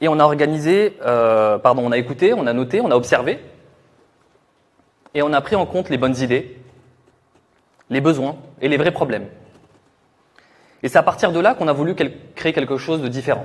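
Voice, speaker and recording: This man talks at a fairly quick pace with a fairly high pitch and lively intonation, broken by long, frequent pauses. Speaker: product manager presenting software. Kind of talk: conference presentation. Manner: loud.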